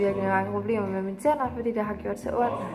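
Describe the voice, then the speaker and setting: A woman's speech carries audible room echo, with noticeable background noise underneath. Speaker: vlogger. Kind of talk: casual video diary. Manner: hesitant with many fillers.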